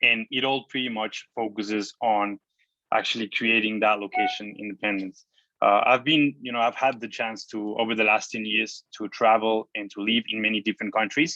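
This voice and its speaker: A man speaks with a Spanish accent at a medium pitch. His intonation stays fairly even. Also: moderate pace. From Mexico. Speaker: online entrepreneur and traveler. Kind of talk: interview. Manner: casual, with many fillers.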